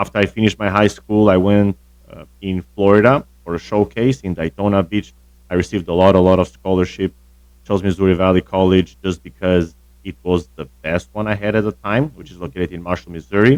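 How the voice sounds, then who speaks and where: In an Albanian accent, a man speaks at a very deep, low pitch and a fairly quick pace. His intonation is fairly even, with big swings in loudness and a dry, close sound with no echo. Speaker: tennis coach. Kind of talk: casual interview.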